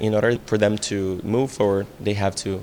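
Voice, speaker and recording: A man speaks with a Portuguese accent at fairly low pitch. His intonation is monotone and flat, at a moderate pace. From Brazil. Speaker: VR director and screenwriter. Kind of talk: interview. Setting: festival venue.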